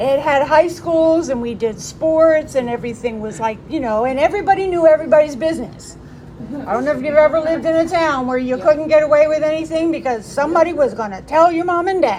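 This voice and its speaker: A woman's high-pitched voice in an American accent, very fast, with ordinary pitch variation and crowd noise in the background. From Maryland Eastern Shore, US. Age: 60s. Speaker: recovering alcoholic speaker. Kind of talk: recovery testimony talk.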